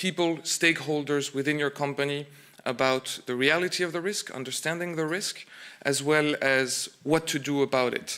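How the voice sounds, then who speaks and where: A fairly high-pitched man at a moderate pace, with fairly even intonation. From France. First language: French. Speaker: insurance broker. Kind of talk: conference presentation. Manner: hesitant, many fillers and repeats.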